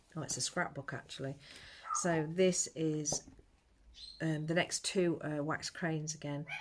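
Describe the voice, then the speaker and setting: Quiet and at a fairly slow pace, a woman speaks with a very deep, low pitch and ordinary pitch variation. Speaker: amateur artist vlogger. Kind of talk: casual vlog. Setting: at home, early morning. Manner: quiet, low-pitched talk.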